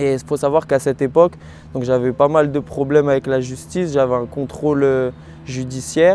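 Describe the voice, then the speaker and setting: Noticeable background noise sits behind a man at medium pitch. He has lively intonation and a moderate pace. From France, Rennes (Brittany). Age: 20s. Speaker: professional kickboxer. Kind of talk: testimony. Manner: hesitant, frequent fillers.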